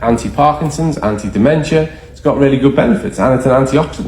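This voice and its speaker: A man with a fairly high pitch and lively intonation is heard with audible room echo and noticeable background noise. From Ireland. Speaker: nutrition educator. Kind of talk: presentation to a live group. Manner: animated.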